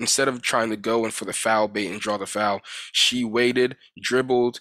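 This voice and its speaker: The tone is bright and sharp, and the intonation stays monotone and flat. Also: man. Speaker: sports commentator. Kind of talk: sports commentary vlog. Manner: fast.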